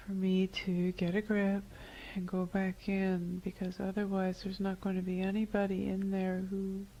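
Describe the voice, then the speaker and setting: A woman speaks at medium pitch and a moderate pace, her tone dark and mellow. Her voice is somewhat breathy, and her intonation stays monotone and flat. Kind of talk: client answering hypnotherapy questions.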